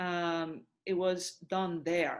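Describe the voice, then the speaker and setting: Woman with a Korean accent at a medium pitch, over a quiet background. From South Korea. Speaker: opera singer and voice professor. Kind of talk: interview conversation. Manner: halting, many fillers.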